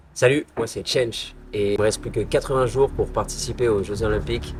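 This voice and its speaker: At a very fast pace, a man talks in a medium pitch with ordinary pitch variation. Vocal fry runs through his voice. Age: 20s. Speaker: alpine ski racer. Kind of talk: vlog-style personal presentation. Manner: hesitant, many filler sounds.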